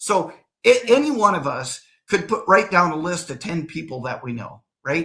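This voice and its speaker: Animated and bright with a sharp edge, a man's high voice swings very widely in pitch at a moderate pace. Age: 60s. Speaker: real estate developer. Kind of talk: interview.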